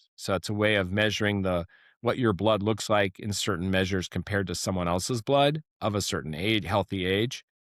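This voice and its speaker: A man with a fairly low pitch talks at a moderate pace, using ordinary pitch variation. The recording is very clean with a silent background, and the sound is dry and close with no echo. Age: 60s. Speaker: neurosurgeon and regenerative medicine doctor. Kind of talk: podcast interview. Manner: hesitant, many fillers and repeats.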